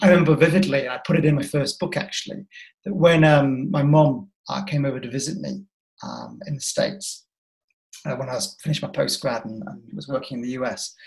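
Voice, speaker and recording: A man's fairly high voice carries vocal fry and ordinary pitch variation. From northern England, rural North Yorkshire. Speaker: diversity and inclusion consultant and author. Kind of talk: interview.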